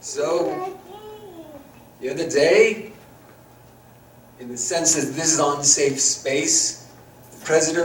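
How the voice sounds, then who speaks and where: Speaking with a New York accent, a man uses a fairly high pitch, ordinary pitch variation and a fairly slow pace. Audible room echo and noticeable background noise surround him. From New York City. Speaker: professor. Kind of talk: presentation.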